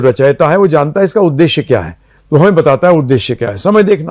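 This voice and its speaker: On a very clean recording with a silent background, a man with an ordinary speaking voice uses lively intonation at a moderate pace. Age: 60s. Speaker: spiritual teacher. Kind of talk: interview.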